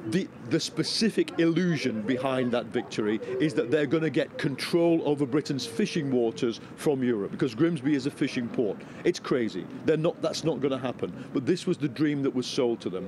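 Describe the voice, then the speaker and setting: A man keeps up a fairly brisk pace while noticeable noise fills the background. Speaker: political commentator guest. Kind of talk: interview answer. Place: street. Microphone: handheld.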